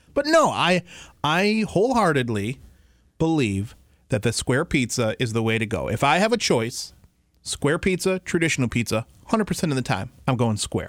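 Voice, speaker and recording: An animated man with an American accent, fairly high in pitch, with very wide pitch swings, very even loudness and a moderate pace, in a very clean recording over a silent background. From Detroit area, Michigan. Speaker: podcast co-host. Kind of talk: casual debate.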